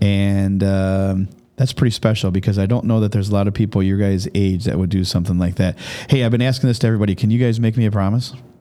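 On a very clean recording with a silent background, a man talks very fast at a fairly low pitch, his tone dark and mellow, his loudness very even and his intonation fairly even. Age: 50s. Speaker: school podcast host. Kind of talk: casual interview.

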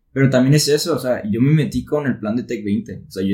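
Very fast speech from a man at a medium pitch. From Mexico, Tepic, Nayarit. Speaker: engineering student. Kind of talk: casual chat.

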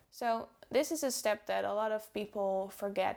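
The speaker talks at a fairly slow pace with a Dutch accent. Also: woman. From Netherlands. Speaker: podcast host. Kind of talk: solo podcast talk.

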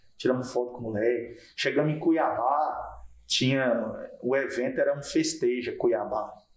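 In a room with audible echo, a man talks at a fairly slow pace with very even loudness. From Porto Nacional, Tocantins, Brazil. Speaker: comedian. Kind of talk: casual chat.

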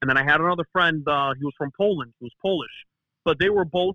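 Speaking with a Chicago accent, a man uses a fairly high pitch with ordinary pitch variation. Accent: Chicago American. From Chicago, US. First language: Greek. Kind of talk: casual interview chat. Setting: phone call.

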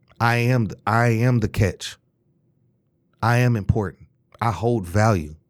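A man with a medium pitch talks at a fairly slow pace in an animated tone. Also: long, frequent pauses, very even loudness. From Detroit, Michigan. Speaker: podcast host, Air Force veteran. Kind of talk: solo podcast monologue, casual. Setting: studio, live-streamed video.

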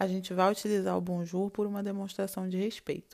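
A woman's dark, mellow voice at a medium pitch and fairly quick pace, on a very clean recording with a silent background. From Brazil, Rio de Janeiro. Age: 20s. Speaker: language teacher. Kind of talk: tutorial.

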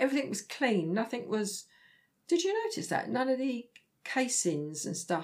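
In a very clean recording with a silent background, a woman speaks at a moderate pace with a fairly high pitch, vocal fry and very wide pitch swings. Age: 60s. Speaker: host's mother, theme park visitor. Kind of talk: casual chat.

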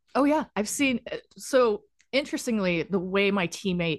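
The background is quiet, and the sound is dry and close with no echo. Pitch swings are very wide. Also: woman. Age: 40s. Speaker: LEGO builder and business owner. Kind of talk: casual chat. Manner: animated.

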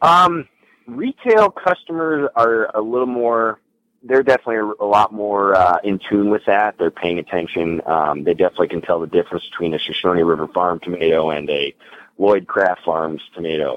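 With an American accent and a plain, everyday voice, a man talks at a moderate pace in a fairly low pitch with lively intonation, recorded with a dry, close sound and no echo. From northern Illinois, US Midwest. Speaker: farm-to-table business owner. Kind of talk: interview.

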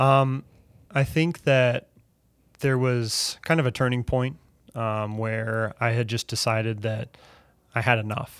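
Talking at a fairly slow pace with long, frequent pauses, a man keeps a medium pitch and fairly even intonation. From Wisconsin, US Midwest. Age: 30s. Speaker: pastor. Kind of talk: testimony.

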